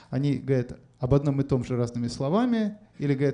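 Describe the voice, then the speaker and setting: Talking at a fairly quick pace, a man speaks with a dark, mellow tone. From Moscow, Russia. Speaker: writer. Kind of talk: public onstage conversation. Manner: hesitant, many fillers.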